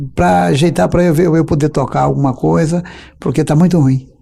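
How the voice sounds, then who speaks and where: A man speaks with very wide pitch swings. Noticeable background noise is present. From Brazil, Paraíba (Campina Grande area). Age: 50s. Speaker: accordionist and composer. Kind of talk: interview.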